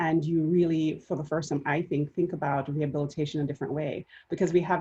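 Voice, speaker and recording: A woman's very deep, low voice with a dark, mellow tone, somewhat breathy and monotone with flat intonation, at a very fast pace in a Jamaican accent. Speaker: panelist. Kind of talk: panel discussion.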